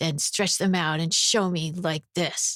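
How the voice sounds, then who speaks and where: This female-sounding voice is a put-on character voice, raspy and fairly low for a woman. It moves at a fairly slow pace. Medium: read story. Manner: teasing, mocking.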